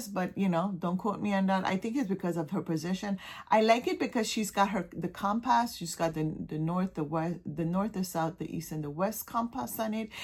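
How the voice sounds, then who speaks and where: In a Caribbean accent, a woman speaks somewhat breathily at a moderate pace with hardly any pauses, on a very clean recording with a silent background. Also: medium pitch for a woman, ordinary pitch variation. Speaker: cross-stitch hobbyist showing patterns.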